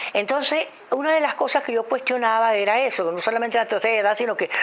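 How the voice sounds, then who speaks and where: The voice heard is a woman's. Background noise is noticeable. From Venezuela. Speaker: actress and voice dubbing artist. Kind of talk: interview answer. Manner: hesitant, halting.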